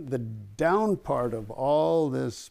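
A man speaks in a dark, mellow tone. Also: quiet background. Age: 70s. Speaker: retiree and humanitarian volunteer. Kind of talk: interview answer. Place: home room. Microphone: lapel.

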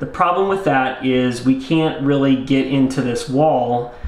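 Audible room echo surrounds a man who speaks fairly slowly with fairly even intonation. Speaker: presenter. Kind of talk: tutorial. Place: bathroom.

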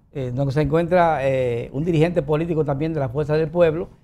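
This man has a fairly high voice with a dark, mellow tone. His intonation stays fairly even. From Dominican Republic. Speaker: TV talk show host. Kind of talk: interview. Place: studio. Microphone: lapel.

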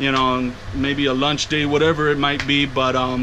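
A man talks fairly quickly while light noise sits in the background. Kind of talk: casual vlog chat. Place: home room. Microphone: phone near.

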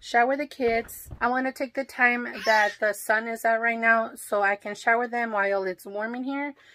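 Over light background noise, a woman speaks at a moderate pace in a bright, sharp tone with fairly even intonation. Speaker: lifestyle vlogger. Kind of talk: casual vlog chat. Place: home room. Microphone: phone near.

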